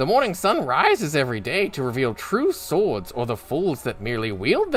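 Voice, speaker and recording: A man with a fairly high pitch puts on a wheezy character voice at a moderate pace, with faint music in the background. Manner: mirthful.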